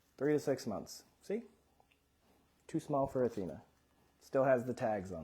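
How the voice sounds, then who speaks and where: A quiet man talks at a moderate pace, his medium-pitched voice dark and mellow with vocal fry. His intonation is lively, broken by long, frequent pauses. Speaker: doctor and livestreamer, father. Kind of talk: casual livestream Q and A. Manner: soft-spoken.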